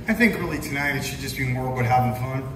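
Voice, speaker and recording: Music runs behind a man as he talks. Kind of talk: stage banter to audience. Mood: playful, teasing. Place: stage. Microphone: pa.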